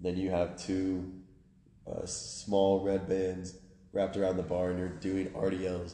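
This man has a very deep, low voice with a dark, mellow tone and flat, monotone delivery. He speaks at a moderate pace amid audible room echo. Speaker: strength coach trainee. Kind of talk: casual chat.

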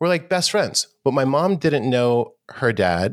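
The speaker has an American accent and a fairly slow pace. The recording is very clean, with a silent background. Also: man. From New York City, Harlem. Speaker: audio tech company founder. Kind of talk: casual chat.

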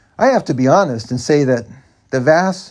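Over a quiet background, a man speaks at a medium pitch. He has a plain, everyday voice and lively intonation. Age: 50s. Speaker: author and podcaster. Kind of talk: reading aloud own memoir.

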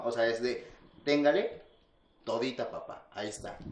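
Here a man is speaking. He keeps a moderate pace. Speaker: podcast co-host. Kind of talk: casual chat.

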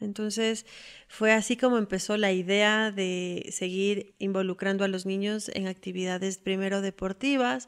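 Woman speaking at a fairly slow pace with a highland Ecuadorian accent. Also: medium pitch for a woman, fairly even intonation, very clean recording, silent background. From Ecuador, Quito. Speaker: hiking guide and tour operator. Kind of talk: personal testimony. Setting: at home.

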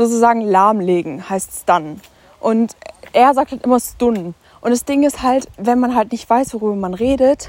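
At a moderate pace, a woman talks in an animated tone at a fairly high pitch with ordinary pitch variation. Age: 20s. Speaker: podcaster. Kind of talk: casual chat.

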